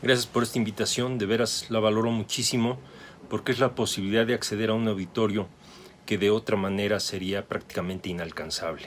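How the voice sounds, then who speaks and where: A man with a normal speaking voice and fairly low pitch talks at a fairly quick pace with fairly even intonation. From Mexico City. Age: 60s. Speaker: photographer and photography teacher. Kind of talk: interview.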